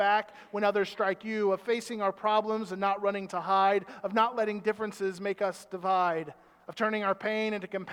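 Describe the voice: The speaker reads aloud plainly. It is a plain read-aloud.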